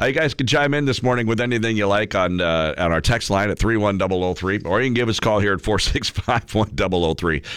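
Raspy and fast, a man speaks at a fairly low pitch with a fairly bright tone, ordinary pitch variation and few pauses.

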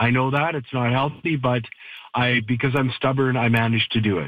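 The man speaks at a medium pitch and a moderate pace, with fairly even intonation.

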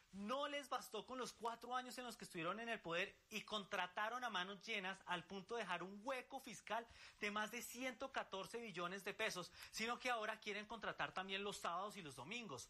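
The tone is bright and sharp, with ordinary pitch variation. Speech moves at a fairly quick pace with few pauses. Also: man, high pitch for a man.

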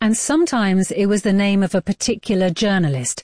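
A woman speaks at a medium pitch and a moderate pace. Her tone is dark and mellow, with a dry, close sound and no echo.

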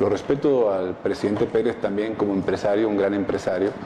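Over clear background noise, a man with a slight Mexican accent talks at a moderate pace with ordinary pitch variation. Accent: Spanish with a Mexican tinge.

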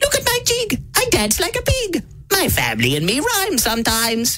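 A put-on character voice rises to an extremely high pitch. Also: moderate pace. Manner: cackling, playful.

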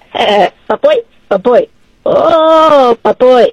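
The pitch sits high. It is a put-on character voice. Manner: playful, gibberish.

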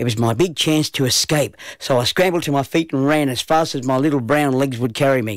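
A natural voice reading aloud

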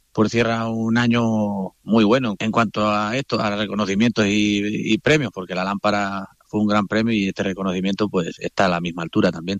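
A man's fairly low voice with little pitch movement at a fairly quick pace, dry and close with no echo.

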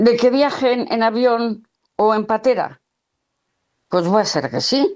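A woman speaks slowly at a fairly high pitch with lively intonation. Her tone is slightly mellow.

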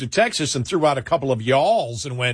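Speaking with an American accent, a man uses lively intonation, his fairly bright tone carrying a slightly husky edge.

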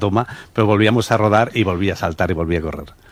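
This man talks at a fast pace. His pitch is fairly low.

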